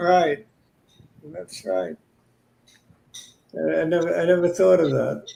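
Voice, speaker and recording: A man with a Brooklyn accent talks at a fairly slow pace, leaving long, frequent pauses. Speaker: stock market commentator. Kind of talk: casual market analysis chat.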